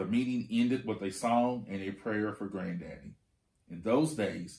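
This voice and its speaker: At a fairly slow pace, a man talks in a normal speaking voice with a fairly low pitch. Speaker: school administrator reading aloud. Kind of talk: audiobook-style children's read-aloud of a picture book. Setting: video reading for school students. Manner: calm, warm, steady teacherly pacing, pausing to point out pictures.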